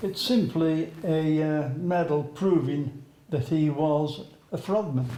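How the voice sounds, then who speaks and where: Amid noticeable background noise, a man with a fairly high pitch speaks at a very slow pace. His pitch varies in an ordinary way. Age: 80s+. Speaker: war veteran. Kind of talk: interview.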